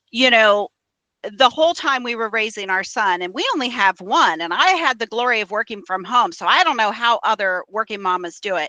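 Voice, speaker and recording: A woman's fairly high, normal speaking voice with lively intonation at a fairly quick pace. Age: 50s. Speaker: podcast host. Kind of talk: interview.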